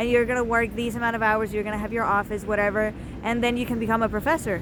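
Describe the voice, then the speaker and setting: At a very fast pace, a woman with a non-native accent speaks in a fairly high pitch with monotone, flat intonation. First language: not English. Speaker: vlogger. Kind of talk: casual vlog monologue. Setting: outdoors on the street. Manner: rambling, filler-heavy casual speech.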